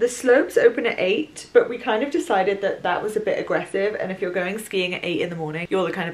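A woman speaks at a very fast pace with noticeable background noise behind her. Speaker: vlogger. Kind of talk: casual vlog chat. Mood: cheerful, chatty. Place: home room. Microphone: camera far.

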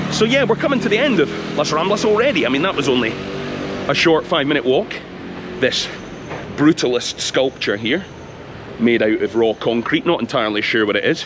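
Fairly quick speech in a Scottish accent, with very wide pitch swings, very even loudness, long, frequent pauses and noticeable background noise. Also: man, fairly high pitch for a man. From Scotland. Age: 40s. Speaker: travel vlogger. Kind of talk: informal walking tour commentary. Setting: outdoors walking in city streets. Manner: casual, chatty. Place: street. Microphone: phone near.

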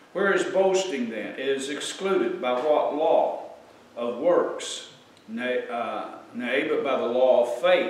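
Very slow speech from a man, plus audible echo from the room. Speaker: preacher. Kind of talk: sermon, scripture reading. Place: church.

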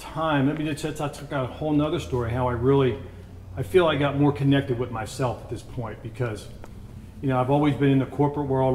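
A man at a fairly quick pace over light background noise. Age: 50s. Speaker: snack company founder; interviewee. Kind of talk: interview. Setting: on site at factory. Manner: halting, many fillers. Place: home room. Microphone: lapel.

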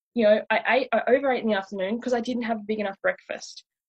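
Fast and fairly even in intonation, the voice has a slightly husky edge and a dry, close sound with no echo. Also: woman, fairly high pitch for a woman.

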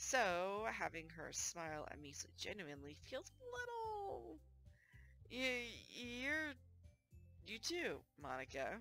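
A woman speaking at a very slow pace with long, frequent pauses, in a dry sound with no echo and faint music in the background. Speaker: gaming streamer. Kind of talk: visual novel read-aloud. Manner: low mic volume. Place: home room.

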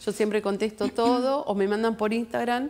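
A woman speaks at a fairly quick pace with an Argentine accent. Her intonation stays fairly even. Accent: Rioplatense Argentine Spanish. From Argentina, Junín (Buenos Aires province); Buenos Aires province, Argentina. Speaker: guest. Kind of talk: TV interview. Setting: TV studio. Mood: earnest, concerned. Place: studio.

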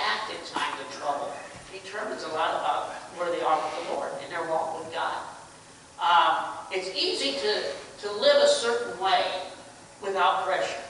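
A man talks at a moderate pace with strong room echo. Light background noise sits behind him. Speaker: pastor. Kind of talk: sermon. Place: church. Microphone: camera far.

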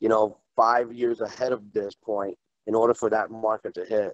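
Against a quiet background, a man speaks at a medium pitch and a moderate pace. The sound is dry, with no echo. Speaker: company executive; panelist. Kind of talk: panel discussion. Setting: video call. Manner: halting. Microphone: video call.

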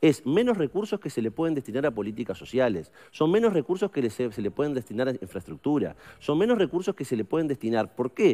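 A man's fairly high, dark and mellow voice in a Uruguayan accent, very fast with very wide pitch swings. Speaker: politician, member of parliament; politician. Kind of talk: radio interview. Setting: studio. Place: studio. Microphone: headset.

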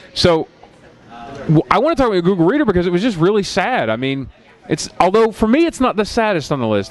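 Talking at a very fast pace with a high pitch and very wide pitch swings, a man with an American accent comes through in a dry sound with no echo. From Philadelphia. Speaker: podcast host. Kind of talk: casual chat. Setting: bar with small audience. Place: studio. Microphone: headset.

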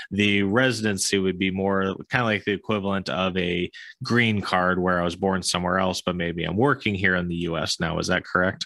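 A bright, sharp tone with fairly even intonation, a fairly quick pace and hardly any pauses, dry with no echo against a quiet background. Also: man, very deep, low pitch for a man. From US, Florida. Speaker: podcast host and investor; podcast host. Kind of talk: interview. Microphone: studio mic.

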